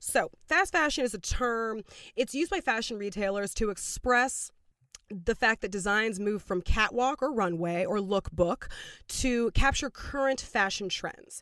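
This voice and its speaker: On a very clean recording with a silent background, a woman talks at a fairly slow pace in a bright, sharp tone, her fairly high pitch moving with lively intonation. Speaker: podcast co-host. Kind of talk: casual chat. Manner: loud.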